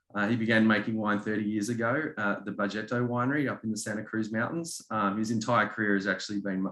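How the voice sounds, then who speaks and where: Talking at a fairly quick pace, a man with a slight Australian accent speaks at medium pitch. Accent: subtle Australian. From Australia, Melbourne. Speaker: winery representative. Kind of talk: presentation at a virtual wine tasting. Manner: hesitant, many fillers.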